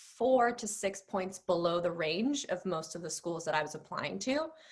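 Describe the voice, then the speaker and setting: A woman with a Spanish accent, medium pitch, ordinary pitch variation and a moderate pace. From Mexico. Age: 30s. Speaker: business school applicant. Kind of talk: interview.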